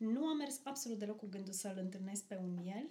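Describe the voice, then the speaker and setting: Somewhat breathy delivery with a dark, mellow tone, ordinary pitch variation and a moderate pace. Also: woman. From Romania, Arad. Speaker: kindergarten teacher, pastor's wife. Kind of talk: casual chat.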